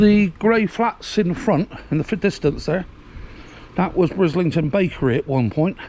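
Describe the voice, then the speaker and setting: Against noticeable background noise, a high-voiced man speaks at a moderate pace with lively intonation. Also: very even loudness. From England, Bristol. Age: 60s. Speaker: local video blogger. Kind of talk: walking tour commentary. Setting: outdoors, walking. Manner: casual, hesitant with fillers.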